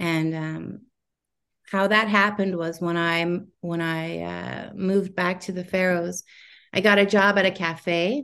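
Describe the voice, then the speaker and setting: A woman with a plain, everyday voice speaks in a fairly low pitch, her intonation fairly even. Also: fairly slow pace. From Faroe Islands and Canada. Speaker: singer-songwriter. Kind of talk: interview chat.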